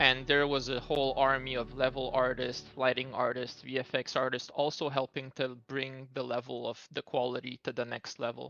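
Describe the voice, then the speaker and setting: Hardly pausing at all, a man talks at a medium pitch in a monotone, flat intonation with a bright, sharp tone. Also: moderate pace. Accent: non-native. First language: not English. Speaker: game level designer. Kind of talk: interview.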